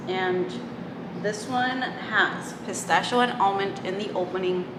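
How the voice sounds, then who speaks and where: Against noticeable background noise, a woman with a Spanish accent talks at a very slow pace with fairly even intonation. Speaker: beauty and fragrance YouTuber; fragrance YouTuber. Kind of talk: product review. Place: home room.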